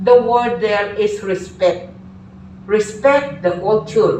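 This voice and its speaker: There is audible room echo as a woman talks. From Philippines. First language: Filipino. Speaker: teacher. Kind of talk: lecture.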